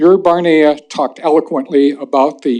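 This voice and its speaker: A man talks in an ordinary speaking voice. His pitch sits fairly high for a man. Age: 60s. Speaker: former newspaper reporter, public commenter. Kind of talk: public comment at city council meeting.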